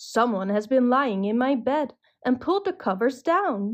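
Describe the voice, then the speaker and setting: A woman puts on a gruff, high-pitched character voice with very wide pitch swings, very even loudness, and a moderate pace. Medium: read story.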